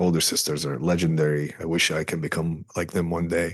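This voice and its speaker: Very deep and low in pitch, a man speaks with an Arabic accent. His pace is fairly quick and his intonation monotone and flat. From Saudi Arabia. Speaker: filmmaker. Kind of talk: interview.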